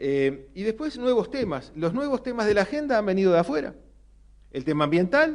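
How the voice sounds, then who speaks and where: A man with very wide pitch swings and a Uruguayan accent. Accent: Rioplatense Spanish (Uruguayan). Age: 60s. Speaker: economist, panelist. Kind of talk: panel talk. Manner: hesitant, many fillers.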